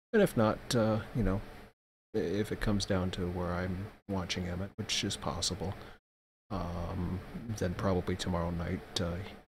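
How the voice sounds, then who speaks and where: A soft-spoken man's very deep, low voice, somewhat breathy and monotone, flat, at a moderate pace on a very clean recording with a silent background. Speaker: streamer / vlogger. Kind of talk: casual vlog update. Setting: at home at night, child asleep. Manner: hesitant, many fillers.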